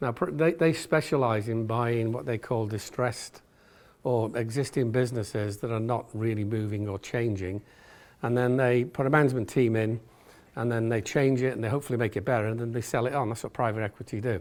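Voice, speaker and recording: A fairly quick pace in an English accent, with ordinary pitch variation. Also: man, medium pitch for a man. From England. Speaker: retail executive. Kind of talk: business talk. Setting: stage with audience. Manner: fast.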